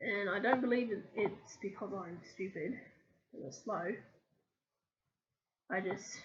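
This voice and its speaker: A woman speaks at a very slow pace with long, frequent pauses, her voice somewhat breathy. Her medium pitch has ordinary variation. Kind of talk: casual talk to camera. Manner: halting, many ums and stammers.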